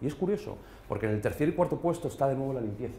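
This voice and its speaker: A man at a very fast pace, with lively intonation. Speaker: business consultant. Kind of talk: business presentation. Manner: hesitant, many fillers.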